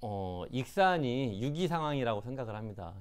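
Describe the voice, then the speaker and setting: His pitch sits at medium and his intonation is lively. The man keeps a moderate pace. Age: 40s. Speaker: local politician, mayoral candidate. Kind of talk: interview. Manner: halting, many fillers.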